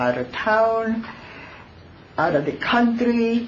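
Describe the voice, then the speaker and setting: Very wide pitch swings from a woman, with audible room echo. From born abroad, immigrant to US. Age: 80s+. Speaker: resident speaking at public comment. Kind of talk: public comment at council meeting. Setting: town council meeting with audience. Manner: halting.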